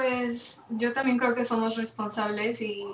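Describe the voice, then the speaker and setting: Audible room echo surrounds a woman who speaks at a fairly slow pace in a fairly high pitch with monotone, flat intonation. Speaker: creative director at independent ad agency. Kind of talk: panel discussion, casual. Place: home room. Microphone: video call.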